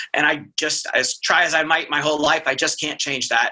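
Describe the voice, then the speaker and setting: A man with a fairly high pitch. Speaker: pathologist. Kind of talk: casual chat. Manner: fast.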